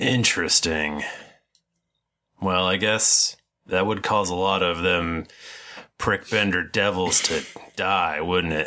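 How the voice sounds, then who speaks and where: In a put-on character voice with a very deep, low pitch, a man speaks at a fairly slow pace with long, frequent pauses. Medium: actual play. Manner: crude, blunt, salty.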